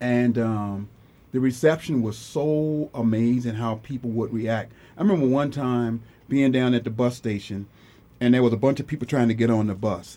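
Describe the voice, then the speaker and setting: Pitch varies in an ordinary way at a moderate pace. The tone is dark and mellow. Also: man, medium pitch for a man. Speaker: photographer and artist. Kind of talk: casual radio interview. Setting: radio studio. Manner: relaxed, conversational, earnest.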